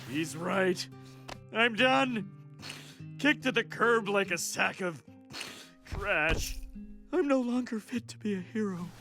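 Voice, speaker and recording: A put-on character voice at a middle pitch, fairly slow, over clear background music. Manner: grumpy.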